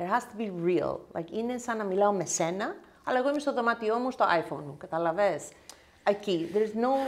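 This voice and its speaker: A woman's fairly high voice swings very widely in pitch at a moderate pace. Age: 50s. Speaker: nail technician and content creator; content creator. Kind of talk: casual chat. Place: home room. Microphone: lapel.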